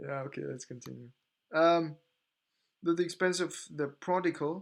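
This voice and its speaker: Against a quiet background, a man with a non-native accent speaks at a fairly high pitch with fairly even intonation. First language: not English. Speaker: podcast host. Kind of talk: reading aloud with commentary. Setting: live stream. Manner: halting, repeating words while reading.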